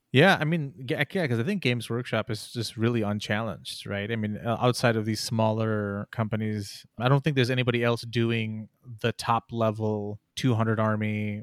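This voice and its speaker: A man's medium-pitched, plain, everyday voice at a moderate pace, with a dry, close sound and no echo. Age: 20s. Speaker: podcast host. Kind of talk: casual chat. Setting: video call.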